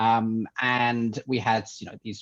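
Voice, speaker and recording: Over a quiet background, a man with an English accent speaks at a medium pitch. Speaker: tech entrepreneur, company CEO. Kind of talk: podcast interview. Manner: hesitant, many fillers.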